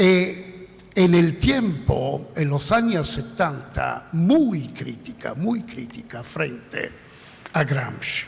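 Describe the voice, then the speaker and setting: Noticeable background noise and audible room echo surround a man speaking in a high pitch. He goes at a very slow pace with very wide pitch swings. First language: Italian (speaking Spanish). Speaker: philosopher. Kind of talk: conference talk. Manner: halting.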